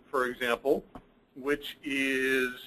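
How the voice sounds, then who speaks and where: A man speaking at a very slow pace. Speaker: accounting firm partner presenting reports. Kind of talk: webinar presentation. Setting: online webinar.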